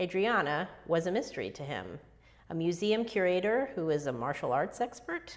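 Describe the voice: A plain read-aloud passage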